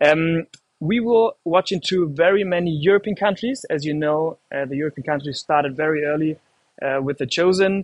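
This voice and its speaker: At a moderate pace, a man with a German accent speaks at a fairly high pitch with ordinary pitch variation, the sound dry and close with no echo. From Germany. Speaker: livestream host. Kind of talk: live stream hosting. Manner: hesitant, many fillers; casual, animated.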